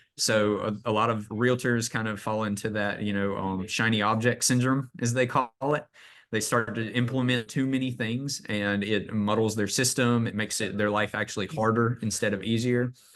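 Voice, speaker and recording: With a slight Southern US accent, a man speaks at a moderate pace and a medium pitch in a flat, monotone delivery. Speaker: real estate agent and AI trainer. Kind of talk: training webinar presentation. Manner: casual, many fillers.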